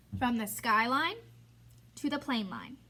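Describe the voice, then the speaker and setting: The tone is bright and sharp, with vocal fry. Pitch moves in an ordinary way. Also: woman. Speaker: elementary school teacher. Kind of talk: tutorial. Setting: recorded video lesson alone.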